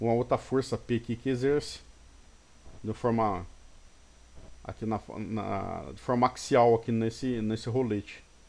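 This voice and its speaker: A man is talking at a medium pitch. His intonation stays fairly even. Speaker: engineering teacher. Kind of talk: recorded lecture. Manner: fast at times; halting, many false starts.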